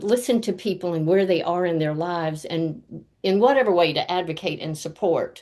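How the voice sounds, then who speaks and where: A woman speaks at a moderate pace with a dark, mellow tone. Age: 70s. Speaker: coach and speaker. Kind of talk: interview. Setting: video call. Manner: enthusiastic.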